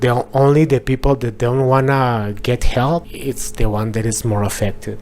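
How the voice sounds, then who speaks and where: A man with a Mexican accent, a medium pitch and fairly even intonation. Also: moderate pace. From Mexico. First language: Spanish. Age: 40s. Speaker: interviewee sharing life with HIV. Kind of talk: personal testimony interview. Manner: halting, with repetitions.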